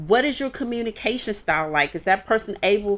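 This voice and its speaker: An animated woman's voice in an American accent, medium in pitch. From Washington, D.C. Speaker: relationship advice guest. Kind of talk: casual chat.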